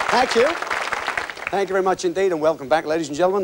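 A man at a very fast pace with very wide pitch swings, over noticeable background noise. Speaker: TV game show host. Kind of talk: TV game show hosting, upbeat. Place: stage. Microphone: lapel.

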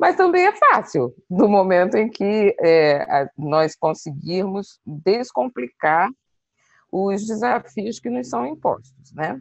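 A woman speaks at a very slow pace with very wide pitch swings, the sound dry with no echo against a quiet background. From Brazil, Rio de Janeiro. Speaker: diplomat; guest. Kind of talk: interview. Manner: halting. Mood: reflective, personal. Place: home room. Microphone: earbuds.

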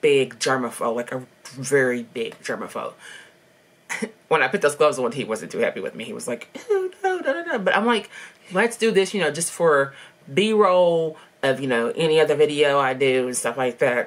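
Her pitch very deep and low, a woman talks at a moderate pace with very wide pitch swings. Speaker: vlogger. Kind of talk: casual vlog chat. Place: home room. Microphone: webcam.

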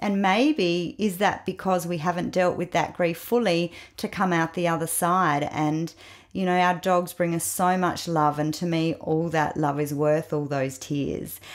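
An ordinary speaking voice at a fairly slow pace, very clean recording, silent background. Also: woman, fairly low pitch for a woman, fairly even intonation. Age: 50s. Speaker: grief counsellor, author. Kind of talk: interview.

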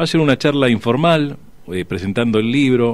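A man talks fairly slowly in a plain, everyday voice with ordinary pitch variation. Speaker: traditionalist radio host as guest. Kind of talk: radio interview answer. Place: studio.

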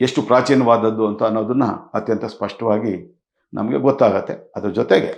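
A man's medium-pitched voice with vocal fry and fairly even intonation. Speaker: political commentator. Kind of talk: video monologue. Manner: halting, in short phrases.

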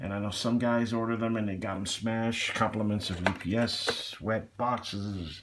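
Speaking at a moderate pace, a man has a fairly low pitch and an unremarkable speaking voice. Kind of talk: casual unboxing review chat. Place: home room.

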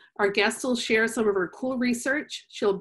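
Over a quiet background, a woman with a fairly high pitch sounds enthusiastic, talking at a moderate pace with ordinary pitch variation. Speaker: youth science educator and webinar host. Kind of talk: webinar hosting. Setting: video call webinar. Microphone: webcam.

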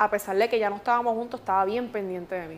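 A woman speaks at a fairly quick pace. Her intonation is fairly even. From Puerto Rico. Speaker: radio host. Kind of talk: interview answer. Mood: emotional, recounting a painful loss. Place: studio.

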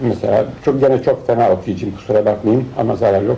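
A man at a medium pitch, fairly quick pace and ordinary pitch variation, amid noticeable background noise. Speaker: painter and cartoonist. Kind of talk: interview answer, personal reminiscence. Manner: hesitant, many filler sounds.

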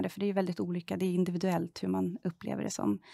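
A woman talks at a fairly quick pace. The sound is dry with no echo, and the background is quiet. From Sweden, southern Stockholm. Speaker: member of parliament; politician interviewee. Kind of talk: political interview. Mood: calm, earnest. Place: studio.

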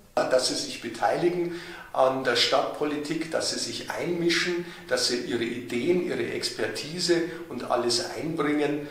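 In a room with audible echo, a man at medium pitch talks at a fairly slow pace with few pauses, a fairly bright tone and ordinary pitch variation.

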